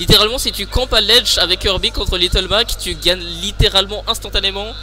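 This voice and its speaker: A man speaks at a fairly quick pace. Music can be heard behind him. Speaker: esports commentator. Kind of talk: live commentary. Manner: soft-spoken; halting, repeats words.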